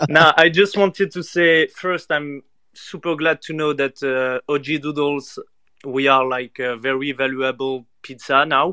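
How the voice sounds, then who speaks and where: The speech comes in a French accent at a fairly slow pace. Its intonation is fairly even. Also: man, fairly high pitch for a man. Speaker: NFT community member asking a question. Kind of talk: casual chat.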